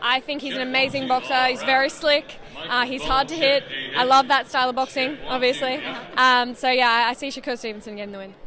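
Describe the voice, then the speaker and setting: Over noticeable background noise, a woman with an Australian accent uses a raised, projected voice at a high pitch, talking at a very fast pace with fairly even intonation. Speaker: professional boxer. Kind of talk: interview. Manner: hesitant, many fillers.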